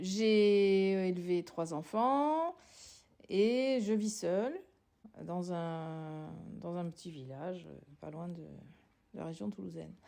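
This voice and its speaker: A woman with a fairly low pitch and a dark, mellow tone, very slow pace, long and frequent pauses, and big swings in loudness. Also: lively intonation. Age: 60s. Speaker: sociologist, former social worker. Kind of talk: personal testimony interview. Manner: halting, many hesitations.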